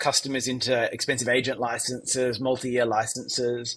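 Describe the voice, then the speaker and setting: A man with an Australian accent, medium pitch, and a moderate pace. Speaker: tech company founder and CEO. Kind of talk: interview.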